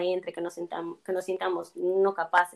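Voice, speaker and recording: A woman speaks at a medium pitch. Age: 20s. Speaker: psychology graduate. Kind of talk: interview.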